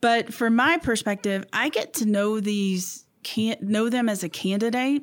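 A woman talks in a normal speaking voice at a fairly slow pace. Her pitch is fairly high with ordinary pitch variation, and her loudness stays very even. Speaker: city clerk. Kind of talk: casual interview conversation.

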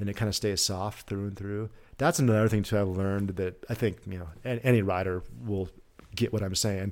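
In a very clean recording with a silent background, a man with a normal speaking voice talks at a fairly quick pace, with fairly low pitch and fairly even intonation. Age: 50s. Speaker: former pro snowboarder. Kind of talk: casual interview chat.

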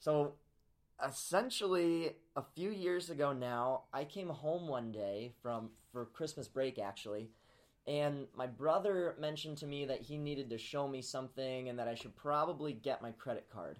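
The speaker has an American accent, a moderate pace and ordinary pitch variation. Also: man, fairly high pitch for a man. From US Midwest (Peoria, Illinois). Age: 20s. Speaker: college student and social media entrepreneur. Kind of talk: podcast interview. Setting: professor's office on campus.

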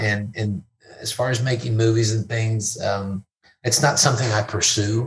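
Somewhat breathy and medium in pitch, a man with a Texan accent speaks at a moderate pace. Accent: Texan, Southern US. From Fort Worth, Texas. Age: 50s. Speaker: comedian. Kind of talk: casual interview chat. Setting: in-person studio.

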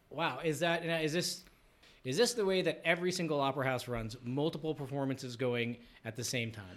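On a very clean recording with a silent background, a man in an ordinary speaking voice talks at a fairly quick pace with a fairly high pitch and lively intonation. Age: 40s. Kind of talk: casual interview.

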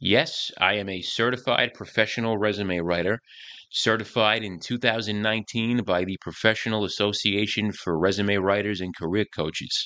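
The tone is bright and sharp, moving at a fairly quick pace with ordinary pitch variation. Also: man. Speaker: podcast host and career coach. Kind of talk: podcast monologue. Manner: animated, brash, humorous.

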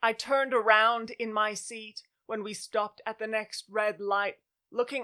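Over a quiet background comes plain reading aloud.

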